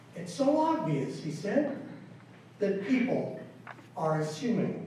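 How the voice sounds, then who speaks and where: A man's high voice with very wide pitch swings at a very slow pace, amid noticeable background noise and audible room echo. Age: 60s. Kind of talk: conference talk.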